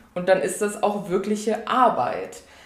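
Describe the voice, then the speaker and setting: A woman's medium-pitched voice at a moderate pace, with noticeable background noise and audible room echo. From Saarland, Germany. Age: 20s. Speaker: author. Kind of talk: podcast interview.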